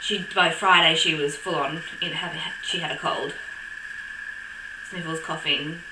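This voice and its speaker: A woman with an Australian accent at a fairly slow pace, long, frequent pauses, and noticeable background noise. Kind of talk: casual talk to camera.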